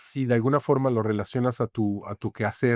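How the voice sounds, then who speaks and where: In a Mexican accent, a dark, mellow, monotone voice speaks at a moderate pace, recorded very cleanly with a silent background and a dry, close sound with no echo. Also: man. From Mexico City. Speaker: graphic designer and author. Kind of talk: interview conversation. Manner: halting, many fillers.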